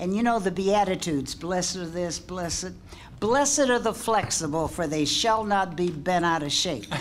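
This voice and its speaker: Amid noticeable background noise and audible room echo, a woman speaks at a moderate pace in a medium pitch with lively intonation. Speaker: panelist. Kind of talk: panel discussion.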